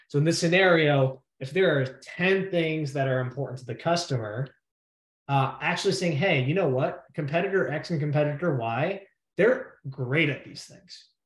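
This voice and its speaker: The voice is somewhat breathy, with ordinary pitch variation and big swings in loudness. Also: man, fairly high pitch for a man. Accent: American. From New York. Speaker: sales expert and former debater. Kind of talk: presentation talk. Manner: fast.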